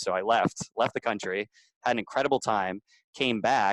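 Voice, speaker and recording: The sound is dry and close with no echo. A man speaks with lively intonation. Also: very clean recording, silent background. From US Northeast, Boston area. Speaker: entrepreneur, Facebook group growth hacker. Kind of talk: interview. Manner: relaxed, natural.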